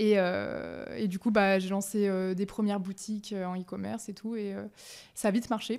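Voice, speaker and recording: A woman speaks at a moderate pace with a medium pitch. Her intonation is monotone and flat, and the background is quiet. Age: 20s. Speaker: startup founder; guest. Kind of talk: casual interview. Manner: hesitant, many fillers. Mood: relaxed, conversational. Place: home room. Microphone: studio mic.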